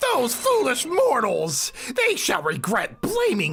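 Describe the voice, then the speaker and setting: A put-on character voice delivers the lines at a fairly slow pace. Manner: menacing, theatrical.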